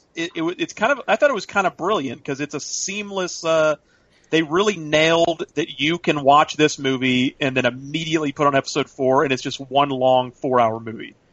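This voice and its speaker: A man speaks in an unremarkable speaking voice, fairly high in pitch with ordinary pitch variation. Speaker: podcast co-host. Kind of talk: casual chat.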